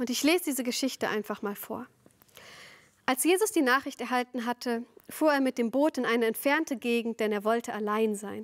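A woman with a high pitch talks at a fairly quick pace with ordinary pitch variation against a quiet background. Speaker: preacher. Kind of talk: sermon. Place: studio.

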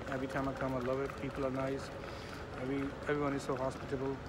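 Loud background noise surrounds a man speaking at a very fast pace. The sound is dry, with no echo. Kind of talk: casual vlog chat. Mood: warm, fond. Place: station. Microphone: phone near.

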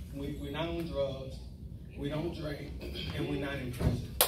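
A man with an American accent, a fairly slow pace, and loud background noise behind him. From Tampa, Florida. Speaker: retired military, brother of honoree. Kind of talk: birthday roast speech. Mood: warm, humorous. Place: hall.

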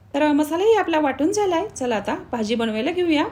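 Noticeable background noise runs under a woman's voice. Her high pitch moves in very wide swings. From Marathwada, Maharashtra, India. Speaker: cooking channel host. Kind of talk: cooking tutorial.

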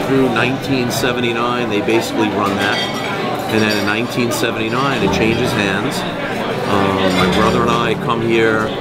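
Loud background noise surrounds a man who talks at a moderate pace. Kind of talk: interview answer. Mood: relaxed, reminiscing. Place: bar.

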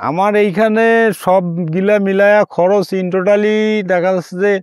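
A man speaks at a high pitch with fairly even intonation. The sound is dry with no echo, over a quiet background. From Bangladesh, Rangpur; Bangladesh. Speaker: nursery farmer. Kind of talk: interview.

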